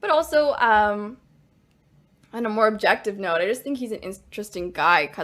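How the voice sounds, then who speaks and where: The recording is very clean and the background silent as a woman speaks at a moderate pace. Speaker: podcast co-host. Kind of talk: casual chat. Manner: soft-spoken.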